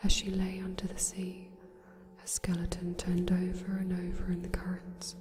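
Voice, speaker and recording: A soft-spoken woman at medium pitch and moderate pace, flat and monotone in intonation, with big swings in loudness over noticeable background noise. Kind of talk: ASMR bedtime story reading. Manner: quiet, soft-spoken.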